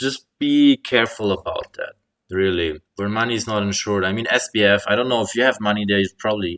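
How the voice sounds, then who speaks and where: A plain, everyday voice speaks at a fairly quick pace in a very clean recording with a silent background and a dry, close sound with no echo. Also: man, fairly low pitch for a man, ordinary pitch variation. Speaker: crypto and markets commentator. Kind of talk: casual market update monologue.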